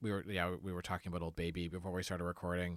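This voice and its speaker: On a very clean recording with a silent background, a man speaks in a very deep, low voice with a bright, sharp tone and fairly even intonation. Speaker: comedy podcast host. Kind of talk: casual chat. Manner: laughs often.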